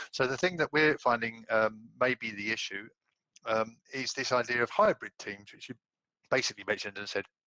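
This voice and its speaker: Dry and close with no echo, a man's medium-pitched voice with a British accent has a bright, sharp tone, ordinary pitch variation and a fairly quick pace. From UK. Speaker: audience member asking a question. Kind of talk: webinar Q&A question. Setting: video call webinar. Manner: halting, many fillers.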